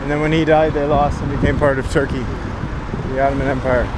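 Loud background noise sits behind a man talking at a very fast pace. The sound is dry with no echo. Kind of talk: casual travel vlog commentary. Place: street. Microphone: phone near.

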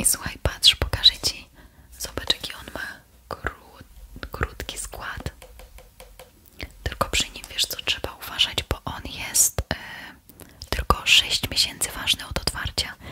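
A woman whispers at a very slow pace, with big swings in loudness. Long, frequent pauses break up her speech. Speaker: ASMR creator playing beautician. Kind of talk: ASMR skincare roleplay, talking to the viewer. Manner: soft, friendly, conversational. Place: home room. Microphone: studio mic.

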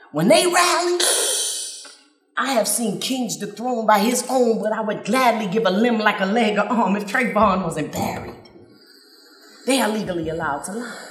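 A woman with an American accent and lively intonation, fairly high in pitch, at a moderate pace with long, frequent pauses, amid audible room echo and music in the background. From Flint, Michigan. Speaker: spoken word artist. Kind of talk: spoken word poetry performance. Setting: live stage, outdoors festival. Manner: rhythmic. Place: stage. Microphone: handheld.

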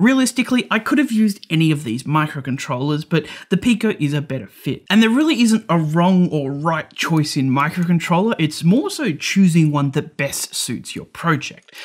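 A man speaks with lively intonation at a moderate pace. He takes hardly any pauses. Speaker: electronics educator. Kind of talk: tutorial. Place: studio.

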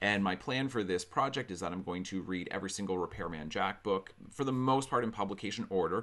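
At a fairly quick pace with hardly any pauses, a man with a fairly low pitch talks with ordinary pitch variation. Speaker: book vlogger. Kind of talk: book discussion vlog. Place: home room. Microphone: studio mic.

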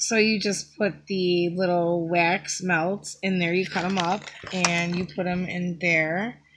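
There is noticeable background noise on this clip. A woman speaks with monotone, flat intonation. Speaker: YouTube haul vlogger. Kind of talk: casual haul video monologue. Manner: chatty, with fillers.

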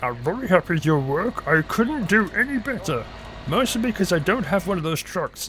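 A man puts on a character voice, pitched high at a moderate pace. Background noise is clearly audible. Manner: comical.

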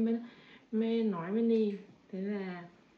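Amid light background noise and audible room echo, a woman talks with fairly even intonation. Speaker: vlogger. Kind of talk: casual vlog chat. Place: home room. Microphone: camera far.

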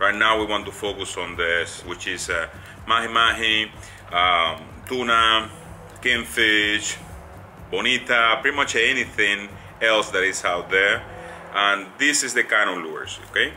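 A man's fairly low voice at a fairly slow pace, with long, frequent pauses and music in the background. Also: ordinary pitch variation. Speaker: fishing how-to host. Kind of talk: tutorial. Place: home room. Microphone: phone near.

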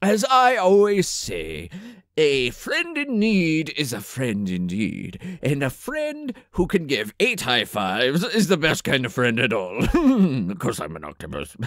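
The speaker uses a put-on character voice. It moves at a fairly slow pace with hardly any pauses. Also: man, fairly high pitch for a man. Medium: comedy sketch. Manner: pompous, rambling.

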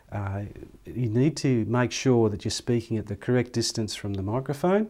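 With a dark, mellow tone, a man speaks at a moderate pace with ordinary pitch variation against a quiet background. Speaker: presenter. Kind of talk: tutorial. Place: studio.

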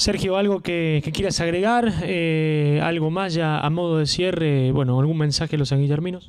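A man's fairly high-pitched voice at a moderate pace, hardly pausing and very even in loudness, with audible room echo and noticeable background noise. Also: ordinary pitch variation. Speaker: local radio interviewer. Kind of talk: interview. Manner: halting, many repetitions.

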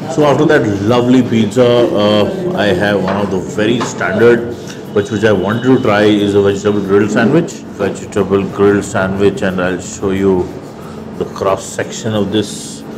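A man's fairly low voice with ordinary pitch variation and noticeable background noise. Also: moderate pace. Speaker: food vlogger. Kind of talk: food review commentary. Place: cafe. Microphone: lapel.

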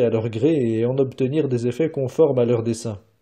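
Against a quiet background, a man talks at a fairly slow pace in a medium pitch, his tone dark, mellow and somewhat breathy, with ordinary pitch variation. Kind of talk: audiobook reading of a philosophical text. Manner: formal, measured, even delivery; slow, deliberate, stating punctuation aloud.

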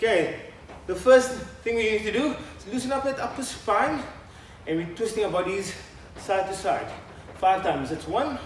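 With lively intonation and long, frequent pauses, a man speaks at a moderate pace amid audible room echo and light background noise. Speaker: fitness instructor. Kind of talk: workout instruction. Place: studio.

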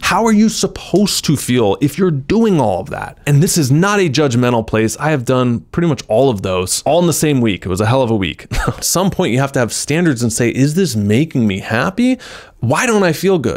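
Against a quiet background, a man talks at a fairly quick pace with very wide pitch swings. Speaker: self-help creator. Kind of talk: motivational talk to camera. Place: studio. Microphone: handheld.

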